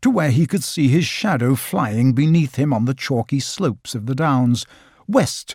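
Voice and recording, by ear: A passage is read aloud. A natural voice does the reading.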